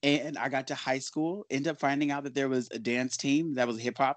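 A man with an American accent speaks at a moderate pace in an unremarkable speaking voice, pitched fairly high with fairly even intonation. The sound is dry and close with no echo, over a quiet background. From Los Angeles, South Central. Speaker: dancer and artist. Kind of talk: interview, casual chat.

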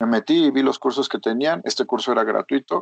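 Speaking at a fairly quick pace, a man talks with a Mexican accent. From Mexico. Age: 20s. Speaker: software developer. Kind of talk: interview. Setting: remote call.

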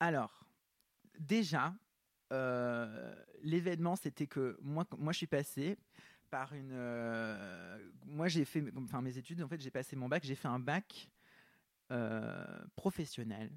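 With lively intonation, a man speaks very slowly, leaving long, frequent pauses. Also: medium pitch for a man, dry, close sound with no echo. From southern France, small village. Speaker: actor and fashion model. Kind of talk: casual interview chat. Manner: halting, many hesitations.

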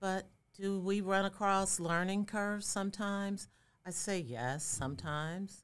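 An unremarkable speaking voice, this woman talks with an American accent at a fairly slow pace, her medium pitch showing ordinary variation. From Chicago, South Side. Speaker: diversity and inclusion consultant. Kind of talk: interview conversation.

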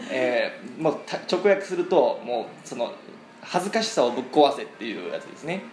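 A man with a Japanese accent talks at a very fast pace, his loudness swinging widely. Noticeable background noise runs underneath. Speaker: podcast host, English learner. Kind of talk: bilingual conversation lesson. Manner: halting, many fillers.

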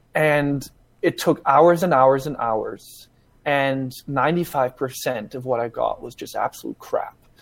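Speaking at a very slow pace, a man with a fairly high voice keeps fairly even intonation but shows big swings in loudness. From Germany. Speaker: tech startup co-founder. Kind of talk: casual interview on a live podcast. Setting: video call.

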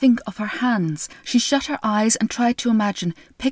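The recording consists of plain reading aloud.

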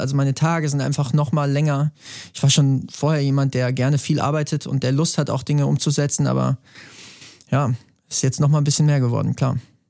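Speaking at a very fast pace, a man holds a fairly high pitch and fairly even intonation. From Bavaria, Germany. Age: 30s. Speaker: singer-songwriter. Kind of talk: podcast interview.

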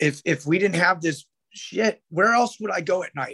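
The speaker has a West Coast American accent and ordinary pitch variation at a moderate pace. The sound is dry and close, with no echo. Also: man. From Sacramento, California. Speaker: punk record label owner. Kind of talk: casual interview.

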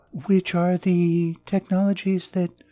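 In an American accent, a woman speaks very slowly with a dark, mellow tone and fairly low pitch, on a very clean recording with a silent background and a dry, close sound with no echo. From southern Arizona, US. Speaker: author. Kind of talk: interview.

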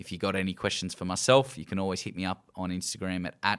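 A man's fairly low voice with an Australian accent at a fairly quick pace, on a very clean recording with a silent background. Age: 30s. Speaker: podcast host. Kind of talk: casual chat.

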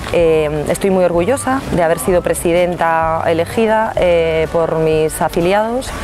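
Against noticeable background noise, a woman with a fairly low pitch and ordinary pitch variation speaks at a fairly slow pace, very even in loudness and with hardly any pauses. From Galicia, Spain (Pontevedra). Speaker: former party president, politician. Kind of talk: interview. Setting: outdoors.

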